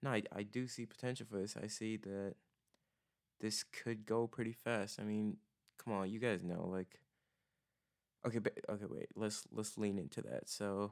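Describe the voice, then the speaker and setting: At a moderate pace and a fairly low pitch, a man speaks with fairly even intonation and long, frequent pauses. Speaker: podcast host. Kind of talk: solo podcast monologue. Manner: monotone, low energy; halting, many fillers.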